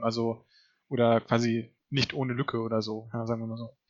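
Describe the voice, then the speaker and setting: A man speaks at a medium pitch. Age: 30s. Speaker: podcast co-host, science communication student. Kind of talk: casual chat.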